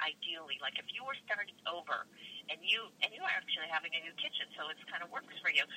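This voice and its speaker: Over noticeable background noise, a woman with medium pitch and lively intonation talks at a fairly quick pace, in a dry, close sound with no echo. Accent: American. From Boston area. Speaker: time management expert and author. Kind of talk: interview.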